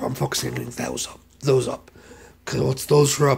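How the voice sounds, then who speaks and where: A man is speaking. Noticeable background noise accompanies him. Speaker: vlogger. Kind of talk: casual vlog update. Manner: halting, repetitive.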